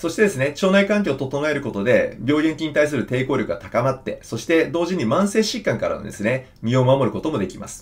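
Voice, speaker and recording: A man with fairly high pitch talks at a fairly quick pace with hardly any pauses. His pitch swings very widely, and his loudness shifts in big swings. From Japan. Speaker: surgeon and health educator; health educator. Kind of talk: health talk to camera. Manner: conversational, many fillers. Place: office.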